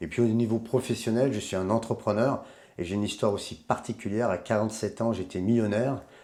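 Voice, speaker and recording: A man's fairly low voice with a dark, mellow tone, a very fast pace and fairly even intonation. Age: 60s. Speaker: life coach and adventurer. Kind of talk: interview.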